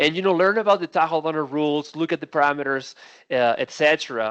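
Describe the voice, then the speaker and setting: A man with a Spanish accent at a fairly quick pace, fairly high pitched with ordinary pitch variation, in a dry, close sound with no echo against a quiet background. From Spain. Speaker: defensible space supervisor. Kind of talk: training webinar presentation. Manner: many fillers and hesitations.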